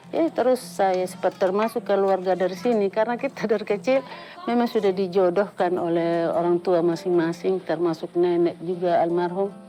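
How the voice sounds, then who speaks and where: Over music in the background, a woman speaks at a moderate pace with hardly any pauses, her medium pitch showing ordinary variation and her loudness very even. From Sumba, Indonesia. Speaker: textile weaver. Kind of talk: interview testimony.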